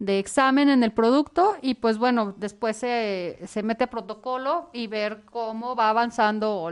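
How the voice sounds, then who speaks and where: Pitched fairly high, a woman's voice rises and falls with ordinary pitch variation. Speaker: skincare products seller. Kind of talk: casual chat. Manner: talkative.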